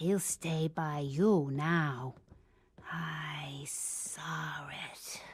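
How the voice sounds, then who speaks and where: A woman's put-on, growling character voice at a very deep, low pitch, with fairly even intonation and a very slow pace, in a very clean recording with a silent background. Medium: video game. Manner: folksy, drawling.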